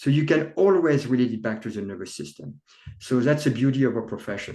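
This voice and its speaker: Very fast and lively, a man talks at medium pitch with vocal fry. His tone is dark and mellow. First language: not English. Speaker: chiropractor, author. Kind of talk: interview conversation.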